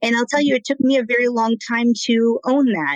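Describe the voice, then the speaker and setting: A woman with an American accent talks at a fairly quick pace. The sound is dry and close, with no echo. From United States, Argentine family. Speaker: business consultant. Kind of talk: interview conversation. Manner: loud, passionate.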